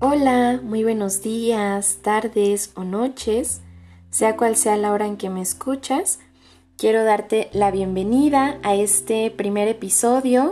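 Over a quiet background, a woman with a fairly high pitch and a dark, mellow tone speaks in a dramatic tone at a very slow pace, with ordinary pitch variation. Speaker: podcast host reading letters. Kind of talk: literary love-letter reading aloud, romantic and longing. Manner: slow, tender and wistful, dramatic, with lingering pauses; intimate, earnest, soft-spoken.

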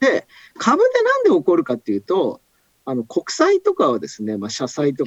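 A man talks at a fairly quick pace in an animated tone, with a dry, close sound and no echo. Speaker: economist. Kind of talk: casual chat. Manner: animated, storyteller-like.

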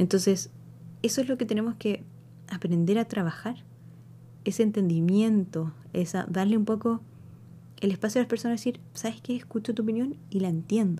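Somewhat breathy and dark, mellow in tone, a woman talks at a fairly quick pace with ordinary pitch variation and long, frequent pauses. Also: medium pitch for a woman. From Chile. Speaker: spiritual podcast host. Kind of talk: solo monologue podcast. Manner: conversational, with many fillers and hesitations.

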